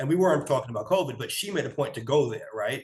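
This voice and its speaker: A man talks with an American accent. His voice is somewhat breathy, with ordinary pitch variation. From New York. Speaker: podcast co-host. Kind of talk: casual chat. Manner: conversational storytelling.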